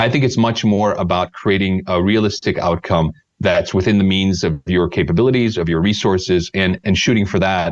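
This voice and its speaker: Very deep and low in pitch, a man with an American accent speaks at a moderate pace with fairly even intonation, very even loudness, and hardly any pauses. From United States. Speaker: startup sales mentor. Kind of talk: podcast interview. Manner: hesitant, many repetitions.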